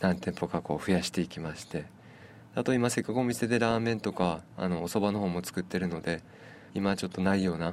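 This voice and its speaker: At a fairly quick pace, a man talks with ordinary pitch variation in a very deep, low voice. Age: 30s. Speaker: udon shop owner and noodle maker. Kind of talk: radio interview. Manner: halting, with fillers.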